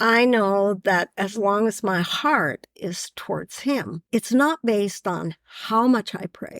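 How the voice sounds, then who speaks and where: A woman's medium-pitched voice at a very slow pace with ordinary pitch variation. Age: 70s. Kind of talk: casual chat.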